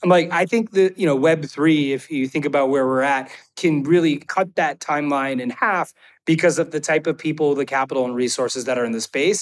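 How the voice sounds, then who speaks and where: Ordinary pitch variation in a normal speaking voice, fairly quick, with a dry, close sound and no echo. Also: man, fairly high pitch for a man, very clean recording, silent background. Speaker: tech company CEO. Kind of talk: casual interview.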